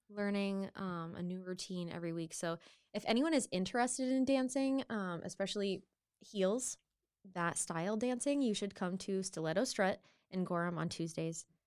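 In an American accent, a woman with a plain, everyday voice speaks at medium pitch and a moderate pace with lively intonation, on a very clean recording with a silent background. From Maine, US. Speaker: singer. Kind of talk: casual chat.

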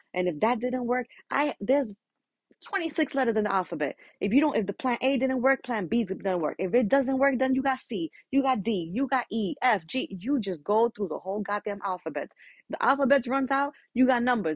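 With a high pitch and an animated tone, a woman talks at a moderate pace. Her intonation is lively. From New York, Dominican family. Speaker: podcast host. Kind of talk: motivational monologue.

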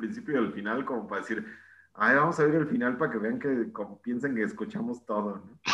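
With a Mexican accent, a man speaks at a moderate pace using lively intonation. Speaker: podcast co-host. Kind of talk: casual chat.

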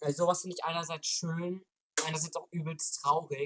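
At a moderate pace, a man speaks in a high pitch with a bright, sharp tone and monotone, flat intonation, the sound dry and close with no echo. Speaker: podcast host. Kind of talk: casual chat.

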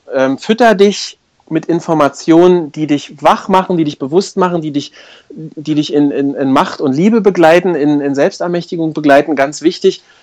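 A man speaks at a fairly high pitch. His pace is moderate and his pitch variation ordinary. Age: 40s. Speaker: life coach. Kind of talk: interview. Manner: hesitant, many filler sounds.

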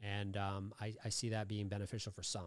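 A man with an American accent and an ordinary speaking voice talks at a fairly quick pace. His pitch sits fairly low, on a very clean recording with a silent background. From Massachusetts, Lowell. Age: 40s. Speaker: recovery podcaster and author. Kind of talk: casual chat.

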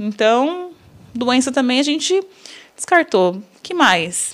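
A woman speaks at a high pitch with very wide pitch swings. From São Paulo, Brazil. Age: 30s. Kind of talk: faith testimony interview.

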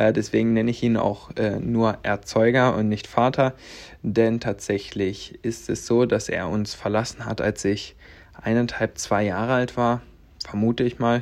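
Over a quiet background, a man with a medium pitch speaks at a fairly slow pace in a flat monotone. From Latvia, then Stendal, Saxony-Anhalt. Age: 20s. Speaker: podcast host, network marketer. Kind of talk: personal storytelling monologue. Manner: casual, many filler sounds.

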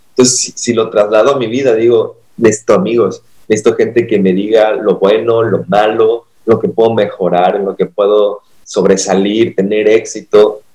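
This is a plain, everyday voice: a man at medium pitch speaks at a moderate pace with fairly even intonation. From Mexico, Acapulco. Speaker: pastor. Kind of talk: casual chat.

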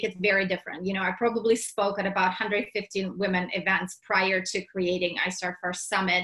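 The speaker has a Russian accent, and there is noticeable noise in the background. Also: woman. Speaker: entrepreneur and business summit organizer. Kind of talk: casual interview chat. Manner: animated.

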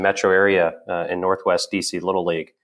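A very fast pace in an American accent on a very clean recording with a silent background. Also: man. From US Midwest, Evansville, southern Indiana. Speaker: startup founder. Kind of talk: interview.

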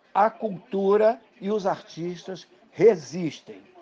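This man talks at a high pitch, and his pitch varies in an ordinary way. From Brazil, Pernambuco. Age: 70s. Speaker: poet and journalist. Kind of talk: interview.

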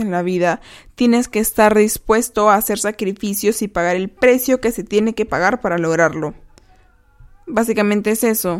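In a plain, everyday voice, a woman talks at a moderate pace with fairly high pitch and ordinary pitch variation. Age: 20s. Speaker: podcast host. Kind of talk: reflective monologue; reading aloud.

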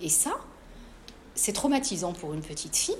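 The speech has lively intonation, with room echo clearly audible. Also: woman. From Morocco, Casablanca. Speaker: author. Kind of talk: interview at a live book talk.

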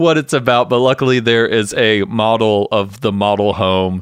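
A man with an American accent and a normal speaking voice, medium in pitch with ordinary pitch variation. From US South. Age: 30s. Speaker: podcast co-host. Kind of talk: casual chat. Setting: at home remotely.

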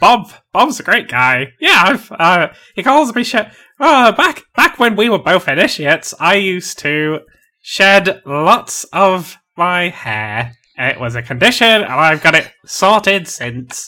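Using a high, put-on character voice, a man speaks at a fairly slow pace. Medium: actual play. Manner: cheery, hearty, laughs at his own jokes.

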